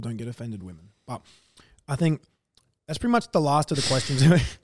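Delivered in an Australian accent at a very fast pace, the speech has big swings in loudness. Long pauses come often. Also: man. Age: 20s. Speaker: podcast host. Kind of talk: casual chat.

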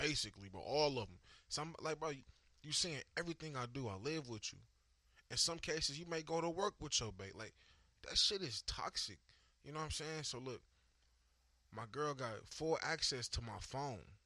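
The voice is bright and sharp, with vocal fry, lively intonation, a moderate pace and long, frequent pauses. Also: man, fairly high pitch for a man. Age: 20s. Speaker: podcast co-host. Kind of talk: casual chat. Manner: animated.

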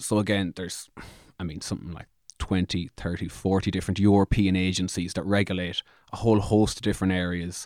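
Speaking very fast with a monotone, flat intonation, a man with an Irish accent uses a very deep, low voice on a very clean recording with a silent background. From Ireland. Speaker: podcast host. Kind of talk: casual chat.

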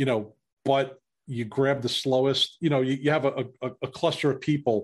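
A man with a New York accent, medium pitch, ordinary pitch variation and a moderate pace, against a quiet background. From New York City. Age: 50s. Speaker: former police officer. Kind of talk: casual interview.

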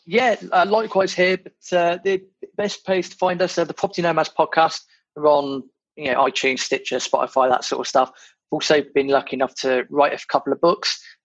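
A man with a British accent talks at a high pitch and a fairly quick pace. His pitch varies ordinarily, and the sound is dry and close with no echo. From Britain. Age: 30s. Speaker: podcast host, property investor. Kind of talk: casual chat.

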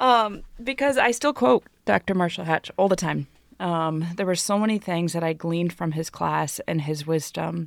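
A woman speaks at a moderate pace with a fairly low pitch and lively intonation. The sound is dry and close, with no echo. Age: 40s. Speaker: pastor and podcast co-host. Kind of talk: casual chat. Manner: animated.

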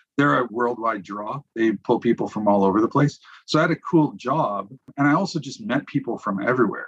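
A man with a Canadian accent and an ordinary speaking voice, medium-pitched, fairly quick, with lively intonation. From Saskatchewan, Canada. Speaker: business development leader. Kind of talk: interview conversation.

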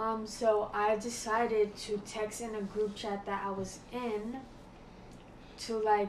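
A woman with an American accent speaks in a fairly high pitch with monotone, flat intonation. Audible room echo and noticeable background noise surround her voice. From New Jersey. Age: college freshman. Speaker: college student. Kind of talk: casual chat.

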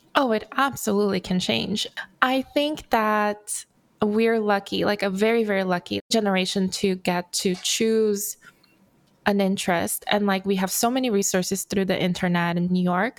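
On a very clean recording with a silent background, a woman talks at a moderate pace and medium pitch, with ordinary pitch variation and very even loudness. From Brazil, raised in Los Angeles. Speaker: furniture designer. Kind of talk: interview.

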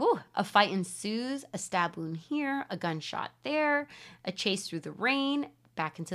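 Someone reads the text aloud, sounding natural.

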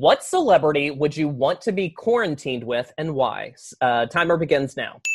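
The speaker has a Southern US accent. The pace is moderate. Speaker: podcast host. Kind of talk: casual interview chat.

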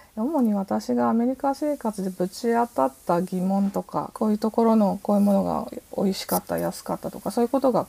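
A woman speaks at a fairly quick pace with a medium pitch. Her pitch swings very widely. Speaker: artist and writer. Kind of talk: interview.

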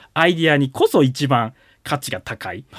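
The man's fairly high voice comes at a moderate pace, dry and close with no echo. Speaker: individual investor. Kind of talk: radio interview.

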